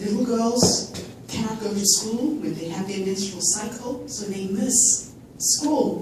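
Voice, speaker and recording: A woman's fairly high voice with ordinary pitch variation at a very slow pace, amid noticeable background noise and audible room echo. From Zimbabwe, rural village. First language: Zimbabwean native language. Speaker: filmmaker and charity speaker. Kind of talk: fundraiser speech. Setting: stage with audience.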